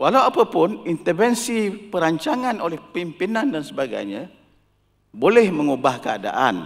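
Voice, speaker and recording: A man's high voice, fairly slow and with very wide pitch swings, on a very clean recording with a silent background. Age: 80s+. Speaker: professor emeritus, forum panelist. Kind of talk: panel forum talk. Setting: auditorium with audience.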